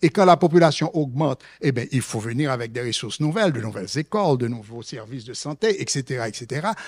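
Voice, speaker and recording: A man's medium-pitched voice at a very fast pace, with lively intonation, big swings in loudness and hardly any pauses. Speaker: economist, conference panelist. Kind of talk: conference presentation. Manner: hesitant, many fillers and repetitions.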